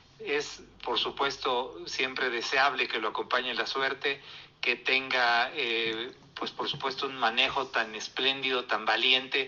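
A monotone, flat delivery at a fairly slow pace over noticeable background noise. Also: man, medium pitch for a man. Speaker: motorsport commentator. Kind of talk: casual chat.

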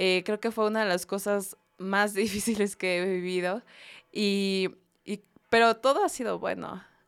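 A woman's fairly slow, fairly even speech with music in the background. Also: medium pitch for a woman. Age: 20s. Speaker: university student and church youth volunteer. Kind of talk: casual faith-based podcast chat.

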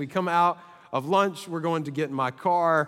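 A high-pitched man's voice at a moderate pace with ordinary pitch variation. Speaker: pastor. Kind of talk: sermon. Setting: stage with audience.

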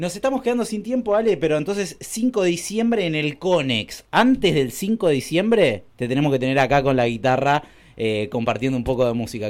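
In a Rioplatense accent, the speaker talks at a fairly quick pace with hardly any pauses. The pitch swings very widely, on a very clean recording with a silent background. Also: man, fairly high pitch for a man. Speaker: radio host. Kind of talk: radio interview.

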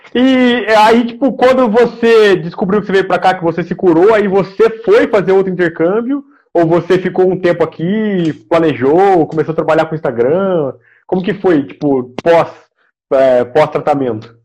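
This man speaks with an interior São Paulo accent in a high pitch. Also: lively intonation, moderate pace. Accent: interior São Paulo caipira R. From interior of São Paulo state, Brazil (Aguaí). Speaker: podcast host. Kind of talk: casual interview chat. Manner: halting, many fillers.

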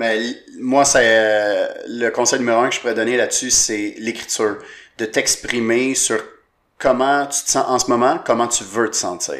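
A man speaks in a Quebec accent. His pace is fairly slow. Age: 20s. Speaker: comedian. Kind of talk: casual chat.

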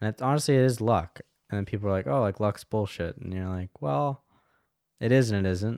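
A man with an American accent has an ordinary speaking voice, fairly low in pitch with lively intonation. The recording is very clean, with a silent background. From US South, Asheville, North Carolina. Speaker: video studio worker. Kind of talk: casual chat. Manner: fast, filler-heavy.

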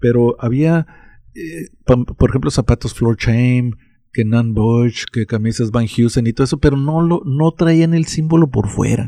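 Here a man talks at a fairly slow pace and medium pitch, with ordinary pitch variation and a dark, mellow tone. The sound is dry and close, with no echo. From Mexico. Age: 60s. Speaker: interviewee recounting childhood. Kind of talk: casual chat.

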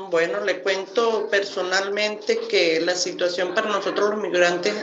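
A woman's medium-pitched voice, with audible room echo. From Venezuela, Maturín, Monagas. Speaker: migrant worker and foundation volunteer. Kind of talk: testimony.

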